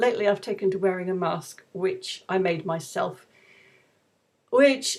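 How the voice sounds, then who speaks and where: A woman with an ordinary speaking voice, medium in pitch, with lively intonation. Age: 60s. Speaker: YouTube vlogger. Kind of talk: casual monologue vlog.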